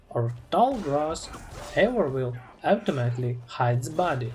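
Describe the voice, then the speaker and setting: Over music in the background, someone speaks at a fairly slow pace with a non-native accent. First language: not English. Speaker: video game guide narrator. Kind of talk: scripted narration.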